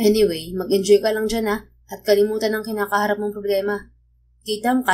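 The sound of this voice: An unforced reading voice carries the whole clip.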